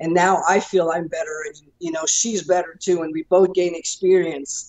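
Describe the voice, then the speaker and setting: Her pitch fairly low, a woman speaks at a moderate pace with monotone, flat intonation. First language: French. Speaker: professional wrestler. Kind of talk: interview.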